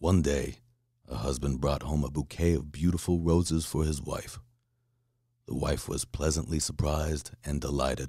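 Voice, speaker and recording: At a fairly slow pace, a man speaks with very deep, low pitch, vocal fry and a dark, mellow, calm, soothing tone. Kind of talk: bedtime story reading.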